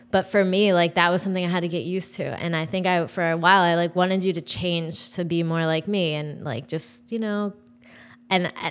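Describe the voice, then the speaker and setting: The speaker is a woman. Her pitch is fairly low. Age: 30s. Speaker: host's wife. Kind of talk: casual chat. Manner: soft-spoken; deliberate.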